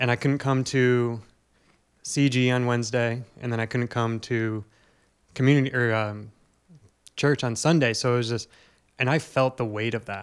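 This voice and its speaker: On a very clean recording with a silent background, a man with a medium-pitched voice speaks in a flat monotone, leaving long, frequent pauses. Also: moderate pace. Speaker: church member, co-guest. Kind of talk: casual podcast conversation about faith.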